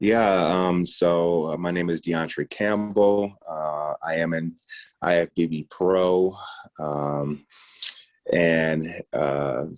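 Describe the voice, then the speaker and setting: A man's very deep, low voice at a very slow pace, with an American accent. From United States. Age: 30s. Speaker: bodybuilder. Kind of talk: interview. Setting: podcast. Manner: hesitant, many fillers.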